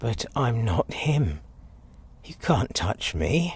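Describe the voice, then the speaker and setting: Putting on a raspy character voice, a man speaks very slowly at a medium pitch with very wide pitch swings. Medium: audio drama. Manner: condescending, mocking.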